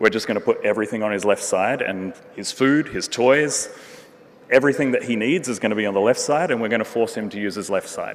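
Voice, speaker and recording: Very fast speech from a man with an Australian accent. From Western Australia, Perth. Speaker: neurorehabilitation researcher and physiotherapist. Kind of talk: conference talk. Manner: many fillers, hesitant.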